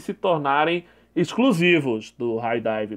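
Moving at a very slow pace, a man lets his pitch swing very widely. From Brazil. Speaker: YouTube anime news commentator. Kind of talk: solo news commentary video.

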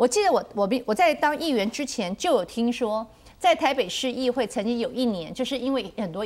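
Her high-pitched voice makes very wide pitch swings as the woman talks at a moderate pace. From Taiwan. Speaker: city councillor. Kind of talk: TV panel discussion. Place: studio. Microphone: lapel.

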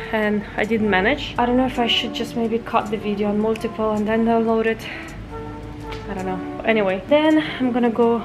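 Clear music plays in the background. The speech moves at a fairly quick pace with fairly even intonation. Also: woman. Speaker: mom vlogger. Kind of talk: casual vlog chat. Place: home room. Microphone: phone near.

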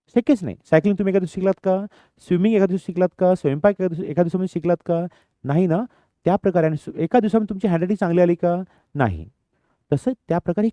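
The sound is dry and close, with no echo. A man speaks at a high pitch in a dark, mellow tone. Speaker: English teacher, channel host. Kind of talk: tutorial.

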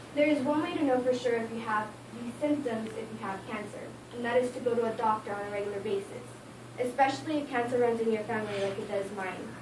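Very fast speech with ordinary pitch variation comes through noticeable background noise. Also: woman. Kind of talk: informative speech. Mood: earnest, somewhat nervous. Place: classroom. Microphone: camera far.

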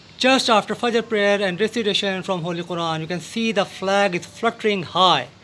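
Music plays in the background as a man talks in a high pitch with ordinary pitch variation. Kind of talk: gardening tutorial vlog. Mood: festive, patriotic. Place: garden. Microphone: phone near.

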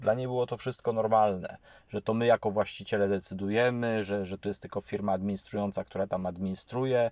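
Speaking at a very fast pace, a man with a fairly low pitch and fairly even intonation is heard against a quiet background, the sound dry and close with no echo. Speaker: YouTube channel host on housing and property. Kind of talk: monologue commentary to camera. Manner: halting with frequent fillers and repetitions.

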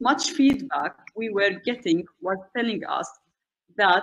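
Her intonation is lively and her pitch fairly high as a woman speaks very slowly. Light background noise can be heard. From Syria. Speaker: NGO communications manager. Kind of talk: prepared presentation with slides. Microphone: video call.

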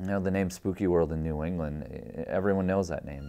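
A man with fairly even intonation. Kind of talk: interview answer. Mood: warm, grateful, reflective. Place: studio. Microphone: lapel.

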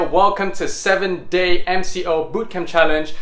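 A man's high-pitched voice with audible room echo. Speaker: fitness instructor. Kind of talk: workout tutorial instruction. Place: home room. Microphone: camera far.

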